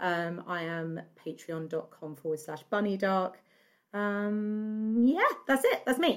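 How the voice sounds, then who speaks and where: A woman with an English accent at a very slow pace, on a very clean recording with a silent background. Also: medium pitch for a woman, lively intonation. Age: 40s. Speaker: horror podcaster and writer. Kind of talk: casual chat. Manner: animated.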